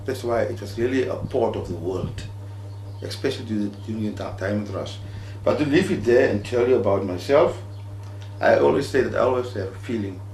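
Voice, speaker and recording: A man's fairly low-pitched voice at a fairly quick pace, with ordinary pitch variation, audible room echo and noticeable background noise. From Namibia (Lüderitz). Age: 60s. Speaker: artist. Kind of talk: personal talk.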